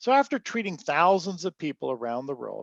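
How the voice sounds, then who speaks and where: At a moderate pace, a man talks with a quiet background behind him. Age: 60s. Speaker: inventor. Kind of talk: interview. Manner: halting.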